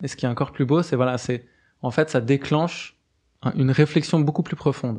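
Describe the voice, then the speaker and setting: With a quiet background, a man talks at a fairly quick pace in a fairly high voice with ordinary pitch variation. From Switzerland, Geneva. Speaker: cooperative cofounder. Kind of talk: interview. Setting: studio. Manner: halting, frequent fillers.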